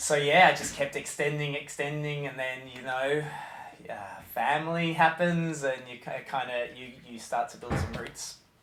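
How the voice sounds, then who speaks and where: A man with an Australian accent speaks at a moderate pace and a fairly high pitch, keeping his intonation fairly even while his loudness swings widely. Music plays in the background and the room echo is audible. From Australia, Melbourne. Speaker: nursery head teacher. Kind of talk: interview. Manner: halting.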